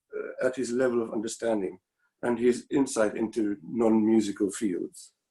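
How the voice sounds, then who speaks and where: Here a man speaks with a South African accent. His pace is moderate. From South Africa (Pretoria). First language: Afrikaans. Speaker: former student, violinist. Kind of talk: memorial tribute. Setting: video call. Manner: halting.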